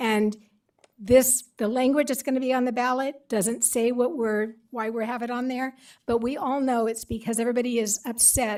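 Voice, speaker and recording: A woman speaks at a moderate pace. Her voice is high-pitched. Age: 60s. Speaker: public commenter. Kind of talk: public comment at council meeting. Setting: county board meeting. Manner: animated.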